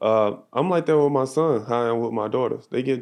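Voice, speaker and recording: A man with an American accent talks at a moderate pace in a dark, mellow tone. The background is quiet. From US South, Jackson Mississippi. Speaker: professional basketball player. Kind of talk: casual chat. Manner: soft-spoken.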